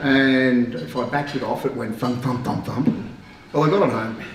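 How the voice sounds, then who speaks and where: Over noticeable background noise and audible room echo, a man speaks at a fairly quick pace and a medium pitch. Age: 60s. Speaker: car club member. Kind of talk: anecdote at club gathering. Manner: animated.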